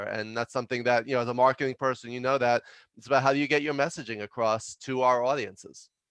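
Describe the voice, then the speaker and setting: A man talks at a very fast pace with a New York accent. The sound is dry and close with no echo, and the background is quiet. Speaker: leadership consultant and author. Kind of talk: podcast interview.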